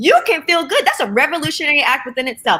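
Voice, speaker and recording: A woman speaks at a very fast pace. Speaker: sex worker and movement leader, parent. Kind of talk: panel discussion. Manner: loud, bold; animated.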